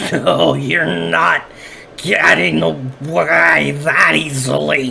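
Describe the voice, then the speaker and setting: A put-on character voice, raspy and very deep, crawls along at a very slow pace. Clear background noise sits behind it. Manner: menacing.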